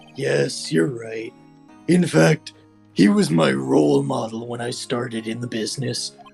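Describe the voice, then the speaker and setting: Using a raspy, put-on character voice, a man speaks at medium pitch and a moderate pace, his pitch swinging very widely, with faint music in the background. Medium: fan dub. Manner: earnest, sincere.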